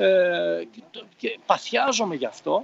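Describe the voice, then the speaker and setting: A man speaks with very wide pitch swings. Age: 50s. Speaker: personal development coach. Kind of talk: interview.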